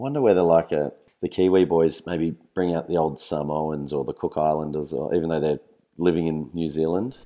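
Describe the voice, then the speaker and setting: In an Australian accent, a man with a very deep, low pitch and a dark, mellow tone speaks at a fairly quick pace with ordinary pitch variation, on a very clean recording with a silent background. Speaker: fistball player and co-host. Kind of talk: casual chat.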